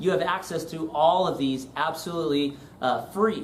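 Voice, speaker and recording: A man speaks with ordinary pitch variation, the recording carrying noticeable background noise and audible room echo. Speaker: pastor. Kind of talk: webinar tutorial and sales pitch. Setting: live online webinar. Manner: fast.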